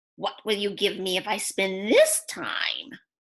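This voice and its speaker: A woman growls in a put-on character voice, speaking at a fairly slow pace with a medium pitch. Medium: read story. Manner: sly, bargaining.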